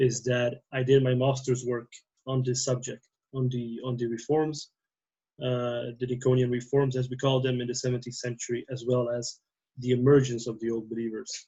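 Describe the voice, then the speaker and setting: A man with a non-native accent speaks at a moderate pace in a monotone, flat intonation. His voice is somewhat breathy. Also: medium pitch for a man. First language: not English. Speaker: theology PhD student and priest. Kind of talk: casual podcast conversation. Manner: halting, many fillers.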